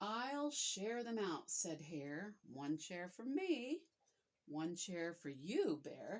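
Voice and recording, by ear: A quiet background under someone reading aloud in a natural voice.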